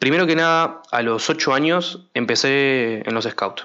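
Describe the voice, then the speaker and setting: A man speaks with a bright, sharp tone and ordinary pitch variation. His pace is fairly slow. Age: 20s. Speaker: podcast host. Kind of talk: personal monologue. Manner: hesitant, many fillers.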